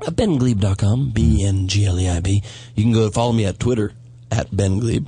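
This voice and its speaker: Noticeable background noise sits beneath a man's voice, which has ordinary pitch variation. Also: fairly low pitch for a man, moderate pace. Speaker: comedian. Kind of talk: casual chat. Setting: studio.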